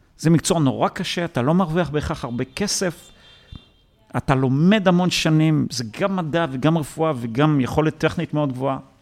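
Against noticeable background noise, a man talks at a moderate pace in a fairly high pitch. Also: ordinary pitch variation. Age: 40s. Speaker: tech entrepreneur and investor. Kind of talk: interview. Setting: office. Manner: halting, many repetitions.

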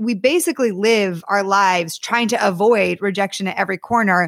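In an American accent, a woman with an unremarkable speaking voice talks at a medium pitch with ordinary pitch variation, the sound dry and close with no echo. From US Northeast (Connecticut). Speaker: author and dating coach. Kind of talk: podcast interview.

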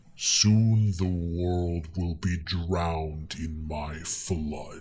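Over clear background noise, a man does a put-on character voice, very slow and very deep and low. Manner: ominous.

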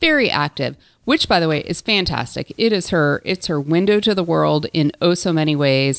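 An ordinary speaking voice from a woman, fairly low pitched with lively intonation, on a very clean recording with a silent background. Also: moderate pace, dry, close sound with no echo. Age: 50s. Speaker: podcast co-host. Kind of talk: casual chat.

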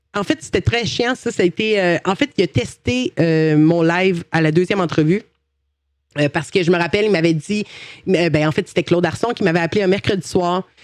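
In a Quebec accent, a woman with a fairly low pitch talks at a fairly quick pace with ordinary pitch variation and very even loudness, in a dry, close sound with no echo. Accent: Québécois French. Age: 30s. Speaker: Twitch streamer and former TV gaming columnist. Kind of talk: interview. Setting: recorded live stream with chat.

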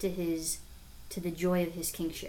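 A woman's fairly low-pitched, fairly slow voice with audible room echo. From Nebraska, US Midwest. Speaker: religious sister and teacher. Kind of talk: casual podcast chat.

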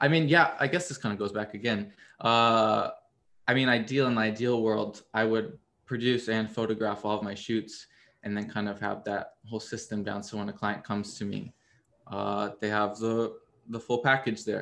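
Against a quiet background, a plain, everyday voice with an American accent talks at a moderate pace. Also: man, medium pitch for a man, fairly even intonation. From US Midwest, Missouri. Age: 20s. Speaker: photographer. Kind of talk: interview.

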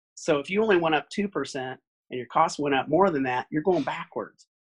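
A man with an American accent has an unremarkable speaking voice at a fairly high pitch, recorded with a dry, close sound and no echo. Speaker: optometrist, practice owner. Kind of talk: casual interview.

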